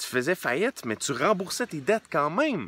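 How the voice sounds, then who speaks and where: With lively intonation, a man speaks in a bright, sharp tone, the sound dry with no echo. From Quebec. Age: 20s. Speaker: entrepreneur and book reviewer; book reviewer. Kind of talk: casual book review monologue. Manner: hesitant with many repeated words and fillers. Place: open country. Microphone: phone near.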